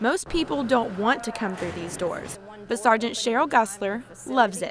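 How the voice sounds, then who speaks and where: A woman's fairly high, lively voice at a moderate pace amid noticeable background noise. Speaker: television news reporter. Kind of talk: TV news reporter package narration.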